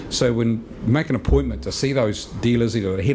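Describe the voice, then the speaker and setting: A fairly low male voice at a very fast pace, with ordinary pitch variation and light background noise. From New Zealand. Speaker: sales and marketing executive; sales. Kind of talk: seminar presentation. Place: meeting room. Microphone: podium.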